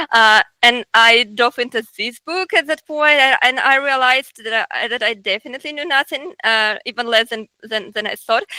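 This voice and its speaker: Speaking with a Russian accent, a woman with a high, bright, sharp voice talks at a moderate pace with hardly any pauses and ordinary pitch variation, in a dry, close sound without echo. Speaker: researcher and artist. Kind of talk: interview. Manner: halting, many fillers and repetitions.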